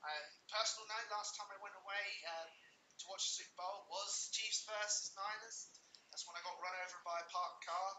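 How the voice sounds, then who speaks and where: A man speaks at a high pitch in a monotone, flat delivery. Audible room echo and noticeable background noise fill the recording. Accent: British. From England. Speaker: sports podcast host. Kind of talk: casual chat. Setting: live stream, in person. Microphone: separate mic, possible echo, too loud.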